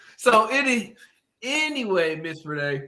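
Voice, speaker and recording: A man's raised, projected voice with an American accent, high in pitch and full of very wide pitch swings. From Houston, Texas. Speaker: interviewer. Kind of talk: interview.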